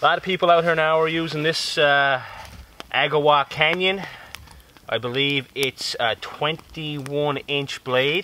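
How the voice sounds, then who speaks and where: A man with a Newfoundland accent and a fairly high pitch speaks at a fairly slow pace in a bright, sharp tone, with a dry sound with no echo and light background noise. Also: fairly even intonation. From Newfoundland, Canada. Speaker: bushcraft YouTuber. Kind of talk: casual vlog talk to camera. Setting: outdoors in the woods. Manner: relaxed, conversational. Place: forest.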